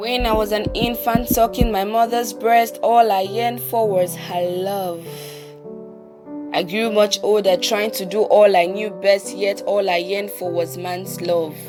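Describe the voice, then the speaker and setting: Over music in the background, a woman speaks at a fairly slow pace and medium pitch with ordinary pitch variation. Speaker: spoken word poet. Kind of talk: spoken word poetry performance.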